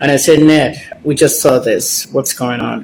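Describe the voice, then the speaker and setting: At a moderate pace, a man speaks in a normal speaking voice pitched fairly high. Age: 60s. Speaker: celebrity gossip commentator. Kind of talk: casual vlog commentary.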